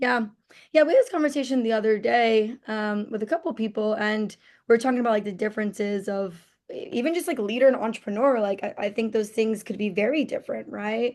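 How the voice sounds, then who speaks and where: With an American accent, a woman speaks fairly quickly in an unremarkable speaking voice, fairly high in pitch with ordinary pitch variation. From New Jersey, US. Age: 20s. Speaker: entrepreneur. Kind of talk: interview.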